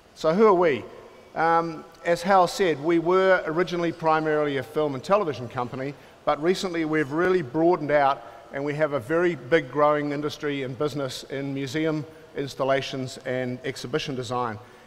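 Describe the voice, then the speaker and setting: Speaking at a fairly quick pace, a man with a fairly high voice talks in a New Zealand accent. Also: ordinary pitch variation. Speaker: film and television producer, company founder. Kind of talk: keynote talk. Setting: conference stage with audience.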